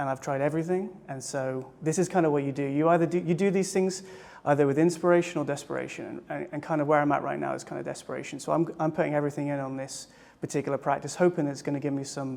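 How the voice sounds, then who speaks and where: A man with a British accent, fairly high in pitch, at a very fast pace and with fairly even intonation. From England, small village. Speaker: psychedelic retreat participant. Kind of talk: interview. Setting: retreat in Costa Rica. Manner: halting, repeats words.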